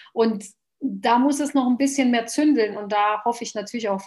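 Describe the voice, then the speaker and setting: A woman with a Bosnian accent. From Bosnia, Sarajevo; raised in Germany from age 11. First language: Bosnian (speaking German). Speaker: politician. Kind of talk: interview.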